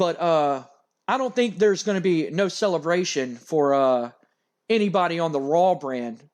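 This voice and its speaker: Lively in intonation, a man with an American accent talks at a fairly high pitch. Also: quiet background. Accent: Louisiana Cajun accent, slips out at times. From Louisiana, US South. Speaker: gaming YouTuber. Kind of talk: casual chat. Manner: rambling, hesitant.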